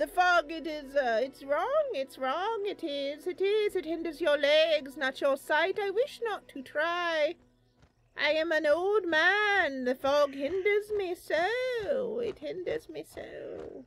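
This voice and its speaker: At a fairly slow pace, a woman talks in a put-on character voice. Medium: game stream. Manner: stammering, repetitive, rambling.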